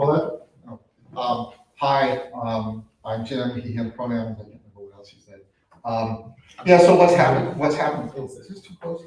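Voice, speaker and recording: A man with an unremarkable speaking voice talks at a moderate pace and medium pitch, with ordinary pitch variation and big swings in loudness. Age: 60s. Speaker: workshop participant, nursing student. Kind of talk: personal testimony.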